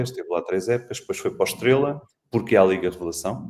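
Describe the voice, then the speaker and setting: A man talking at a very fast pace. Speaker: sports journalist, podcast co-host. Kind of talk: casual panel discussion on football.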